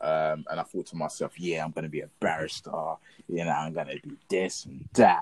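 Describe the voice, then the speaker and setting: A man in a London accent at a moderate pace, with big swings in loudness and a dry, close sound with no echo. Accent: London Multicultural English. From South London. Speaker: podcast guest. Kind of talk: casual chat.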